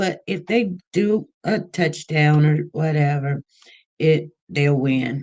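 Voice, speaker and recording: A woman's very deep, low voice, dark and mellow in tone, somewhat breathy, with ordinary pitch variation. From Kansas City, US Midwest. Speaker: livestream host. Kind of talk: casual livestream chat. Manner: casual, chatty.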